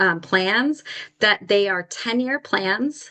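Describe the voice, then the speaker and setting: This woman has an unremarkable speaking voice, pitched medium with lively intonation. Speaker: nonprofit executive director presenting a policy brief. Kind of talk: webinar presentation.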